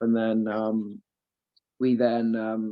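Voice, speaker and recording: This man speaks with a slight Welsh accent. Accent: slight Welsh tinge. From Wales, Aberystwyth (west coast). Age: 20s. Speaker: professional footballer. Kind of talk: interview. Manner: hesitant, many fillers.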